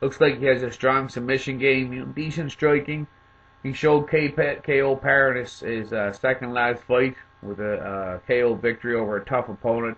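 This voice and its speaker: A man with a Cape Breton accent, fairly even in intonation, over noticeable background noise. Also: medium pitch for a man, moderate pace. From Cape Breton, Nova Scotia, Canada. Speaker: MMA commentator, video maker. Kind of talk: casual commentary, fighter rundown. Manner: hesitant, many fillers.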